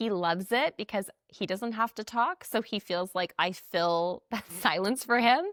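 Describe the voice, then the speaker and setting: A woman speaks at medium pitch with lively intonation. The recording is very clean with a silent background, dry and close with no echo. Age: 40s. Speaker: television host and podcast host. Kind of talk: casual chat. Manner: loud; talkative, nonstop.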